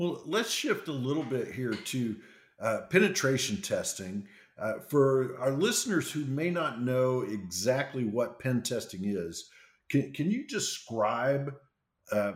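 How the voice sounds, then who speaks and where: At a fairly slow pace, a man with an ordinary speaking voice talks at medium pitch with lively intonation. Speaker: podcast host, former CIO. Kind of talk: interview.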